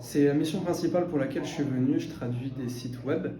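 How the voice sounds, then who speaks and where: There is audible room echo and noticeable background noise as a man talks at a fairly high pitch with ordinary pitch variation. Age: 20s. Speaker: translation intern. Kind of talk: interview testimony. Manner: hesitant, many fillers.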